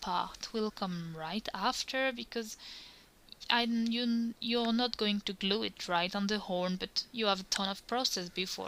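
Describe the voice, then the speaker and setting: In a French accent, a woman with a bright, sharp tone and medium pitch talks at a fairly slow pace with ordinary pitch variation. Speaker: cosplayer. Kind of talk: tutorial. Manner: halting.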